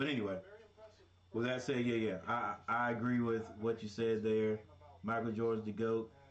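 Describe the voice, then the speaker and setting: Over noticeable background noise, a man with a medium pitch talks at a moderate pace in a monotone, flat intonation, his loudness very even and his pauses long and frequent. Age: 50s. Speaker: sports commentator. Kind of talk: casual chat. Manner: halting.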